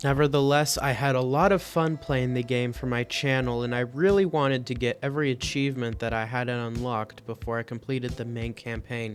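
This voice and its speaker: Noticeable background noise sits behind a man at medium pitch with ordinary pitch variation. He speaks at a fairly quick pace with hardly any pauses. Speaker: gaming youtuber. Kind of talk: game commentary voiceover. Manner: audible loud breaths.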